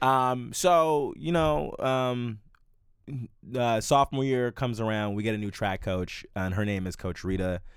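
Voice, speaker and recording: A man with an American accent has an ordinary speaking voice at medium pitch. He talks fairly slowly with lively intonation. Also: very clean recording, silent background. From US Mid-Atlantic, Prince George's County, Maryland. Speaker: comedian. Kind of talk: casual chat.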